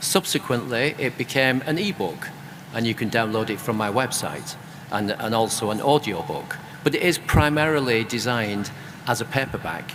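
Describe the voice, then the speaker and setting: Against noticeable background noise, a man at medium pitch speaks at a moderate pace with lively intonation. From UK. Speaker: author and creative business consultant. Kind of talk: panel discussion.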